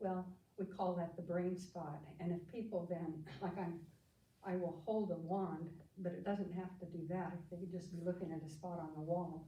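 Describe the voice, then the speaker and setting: A woman's somewhat breathy voice with an American accent, fairly low in pitch and dark and mellow in tone, with audible room echo. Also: moderate pace. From US Midwest (Kansas Flint Hills farm). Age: 80s+. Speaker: psychotherapist. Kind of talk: life story talk.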